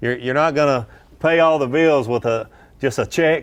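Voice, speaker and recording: A man at a fairly quick pace with a slight Southern US accent. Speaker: pro angler and fishing analyst. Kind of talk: live tournament commentary.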